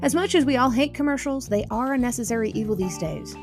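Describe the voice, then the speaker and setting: Music is heard behind the voice. The woman talks at a fairly quick pace. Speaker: podcast host and interviewer. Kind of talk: podcast host intro and interview questions.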